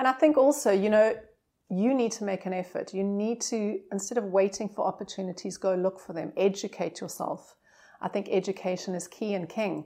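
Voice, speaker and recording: A woman speaks with a South African accent and ordinary pitch variation. The recording is very clean, with a silent background. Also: medium pitch for a woman, fairly quick pace. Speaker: hotel marketing director. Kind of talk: casual interview chat. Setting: hotel suite.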